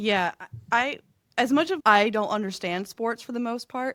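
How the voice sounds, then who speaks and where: The voice has an animated tone, lively intonation and an American accent. The recording is very clean, dry and close, with a silent background and no echo. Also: woman. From upstate New York, rural. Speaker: podcast host. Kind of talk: casual interview chat.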